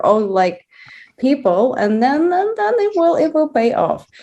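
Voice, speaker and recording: A woman speaks at a fairly slow pace. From Russia, Moscow. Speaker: diversity and inclusion advocate. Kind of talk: panel discussion. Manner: halting, many repetitions.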